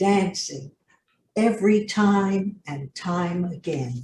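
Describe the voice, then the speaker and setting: A woman's voice, dark and mellow in tone and somewhat breathy. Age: 80s+. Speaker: poet. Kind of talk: poetry reading.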